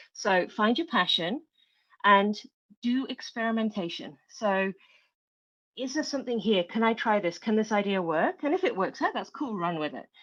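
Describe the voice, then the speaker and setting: A woman talks at a moderate pace with very wide pitch swings. The background is quiet. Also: fairly high pitch for a woman. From England. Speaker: tech founder and security expert. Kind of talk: podcast interview.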